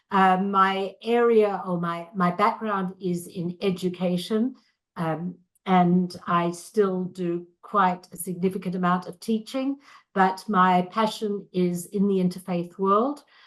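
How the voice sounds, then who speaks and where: With a slight Australian accent, a woman speaks at a medium pitch. Her pace is very slow, and her intonation is fairly even. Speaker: interfaith educator. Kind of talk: video call self-introduction. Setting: video call.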